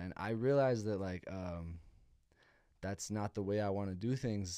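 A man with an American accent speaks at a moderate pace in a dark, mellow tone. The recording is very clean, with a silent background. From Santa Fe, New Mexico, US. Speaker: rapper. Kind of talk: casual chat.

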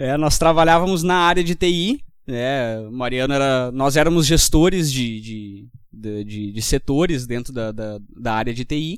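At a fairly slow pace, a man speaks with lively intonation. His pitch sits in the medium range. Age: 20s. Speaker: tech company co-founder. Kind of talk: casual chat. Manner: halting.

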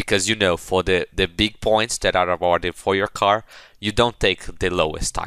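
A man's fairly low voice with a bright, sharp tone, a Portuguese accent and monotone, flat intonation at a moderate pace, dry and close with no echo on a very clean recording with a silent background. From Brazil. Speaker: former student competitor. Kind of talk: casual chat. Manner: halting.

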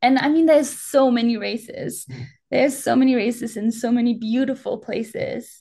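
With a German accent, a woman talks at a moderate pace with fairly even intonation. Her voice is high in pitch and dark and mellow in tone. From Germany, Alpine region. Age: 20s. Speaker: professional ultrarunner. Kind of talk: casual interview.

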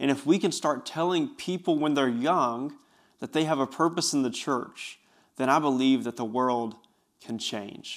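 With an Appalachian accent, a man speaks at a fairly high pitch and a fairly slow pace, leaving long, frequent pauses, in a very clean recording with a silent background. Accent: Southern US (Appalachian). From East Tennessee (Bristol). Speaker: youth pastor, podcast host. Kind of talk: solo podcast monologue. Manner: animated.

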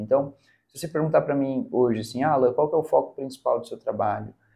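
A man at a fairly quick pace. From Curitiba, southern Brazil. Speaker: public speaking mentor. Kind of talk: casual interview.

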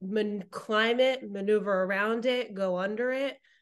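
A woman uses an ordinary speaking voice at a fairly high pitch. She talks at a moderate pace with lively intonation. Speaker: co-host, marketing executive. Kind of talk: casual interview chat.

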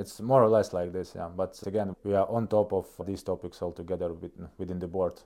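Talking at a fairly quick pace, a man with a Russian accent has a very deep, low pitch and a dark, mellow tone. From northeast Estonia. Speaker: chief operating officer. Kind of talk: interview conversation. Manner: halting, hesitant.

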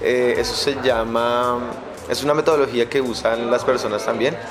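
Music plays in the background while a man speaks at a medium pitch. His intonation is fairly even, and the room echo is audible. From Colombia, Bogotá. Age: 20s. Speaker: entrepreneur. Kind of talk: casual chat.

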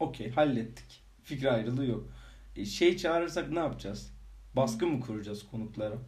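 At a fairly quick pace, a man with a medium pitch talks with lively intonation and vocal fry, with room echo audible. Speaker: podcast co-host. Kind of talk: casual chat. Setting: home recording. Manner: laughing often.

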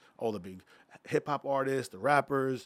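A fairly quick pace in a very clean recording with a silent background. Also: man. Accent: New York. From Long Island, New York. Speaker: nightlife entrepreneur. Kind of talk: casual chat.

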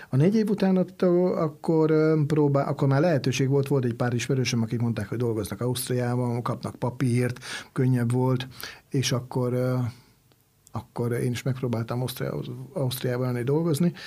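A plain, everyday voice from a man at medium pitch, with moderate pace and ordinary pitch variation. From Hungary, Swabian descent. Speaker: chef. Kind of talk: interview.

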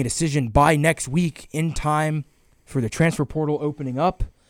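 A man with an American accent speaks at a fairly high pitch with ordinary pitch variation, in a normal speaking voice. The sound is dry and close with no echo, on a very clean recording with a silent background. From US South, Georgia. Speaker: sports podcast host. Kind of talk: casual chat.

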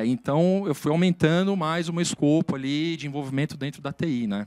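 A man's lively, fairly quick speech, dry and close with no echo, on a very clean recording with a silent background. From Brazil, moved around; family from southern Minas Gerais. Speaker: IT executive. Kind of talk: career interview. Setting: studio. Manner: hesitant, many filler sounds.

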